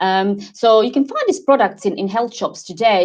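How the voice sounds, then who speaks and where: A woman with a slight Croatian accent at a moderate pace, ordinary pitch variation and a quiet background. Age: 40s. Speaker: wellness advocate. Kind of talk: interview. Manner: halting.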